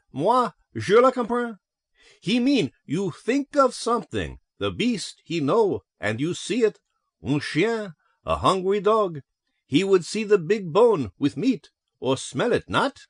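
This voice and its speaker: Putting on a character voice with a French accent, a man speaks at a high, shrill pitch with very wide swings and a fairly slow pace, in a dry, close sound with no echo. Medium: read story.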